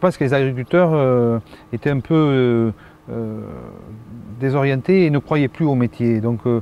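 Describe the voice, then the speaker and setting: A man's fairly slow speech, broken by long, frequent pauses. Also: medium pitch for a man, ordinary pitch variation. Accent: southern French. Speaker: cereal farmer. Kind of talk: interview answer. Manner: calm.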